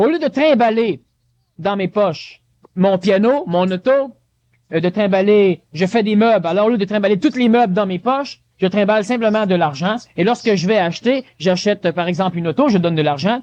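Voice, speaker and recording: A man with a high-pitched voice and ordinary pitch variation. The sound is dry and close, with no echo. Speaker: lecturer. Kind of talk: lecture. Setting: conference hall with audience. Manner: fast.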